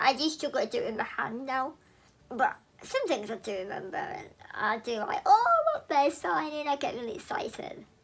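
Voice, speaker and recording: In an English accent, a woman projects a raised, high-pitched voice whose loudness swings widely over noticeable background noise. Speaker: YouTuber sharing personal story. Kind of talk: personal vlog testimony. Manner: slow; careful, deliberate articulation.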